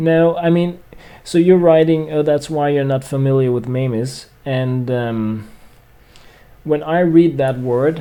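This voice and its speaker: Against noticeable background noise, a man with a Scandinavian accent speaks at a fairly slow pace and a fairly high pitch with ordinary pitch variation. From Denmark. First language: Danish. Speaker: gaming streamer. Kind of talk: casual livestream chat. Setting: livestream. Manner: hesitant, many fillers.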